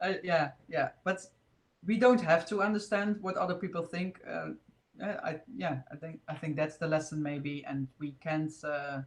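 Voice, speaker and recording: A woman talks at a moderate pace. Her pitch is fairly low, with ordinary variation. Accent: Dutch. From Netherlands. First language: Dutch. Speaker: spiritual video host. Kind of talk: casual chat. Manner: halting.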